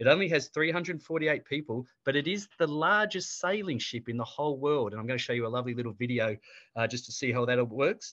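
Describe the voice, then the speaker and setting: Someone with an Australian accent talks at a very fast pace with lively intonation. The background is quiet. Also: man, fairly high pitch for a man. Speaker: cruise line regional manager. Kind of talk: webinar presentation.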